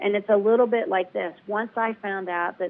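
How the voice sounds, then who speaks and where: A plain, everyday voice moves at a fairly quick pace, its intonation fairly even. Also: woman. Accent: American. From US South. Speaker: patient advocate. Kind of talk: interview.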